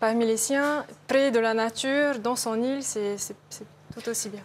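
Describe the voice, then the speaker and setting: A woman's fairly high voice at a very slow pace. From French Polynesia. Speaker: actress. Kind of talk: interview answer.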